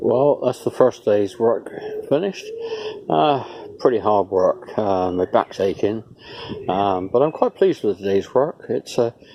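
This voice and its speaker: Speaking at a fairly slow pace in a British accent, a man leaves long, frequent pauses over noticeable background noise. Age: 70s. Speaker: retired builder doing a DIY home extension. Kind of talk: casual video diary. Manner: hesitant, many fillers.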